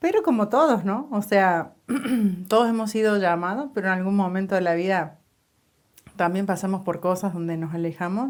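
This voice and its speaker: A woman speaks with a Cordoban Argentine accent and ordinary pitch variation. The recording is very clean, with a silent background. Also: medium pitch for a woman, moderate pace. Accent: Cordoban Argentine Spanish, sing-song. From Córdoba, Argentina. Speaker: church podcast co-host. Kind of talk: casual chat.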